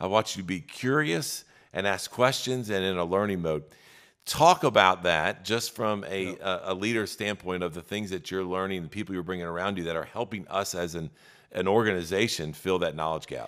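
Over a quiet background, a man with a very deep, low pitch talks at a fairly quick pace with ordinary pitch variation. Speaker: leadership podcast co-host. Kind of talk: casual chat. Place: studio. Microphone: studio mic.

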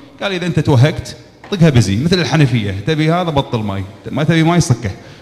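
At a moderate pace, a man speaks. His pitch swings very widely. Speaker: speaker. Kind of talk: talk telling a personal business story. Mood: animated, humorous storytelling. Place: hall. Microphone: handheld.

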